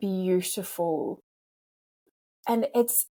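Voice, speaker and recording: A woman speaks at a medium pitch with an Australian accent, her tone dark and mellow and somewhat breathy. Her intonation is lively, and the sound is dry and close with no echo. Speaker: podcast host, former police officer and life coach. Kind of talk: interview conversation. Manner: repetitive, stammering.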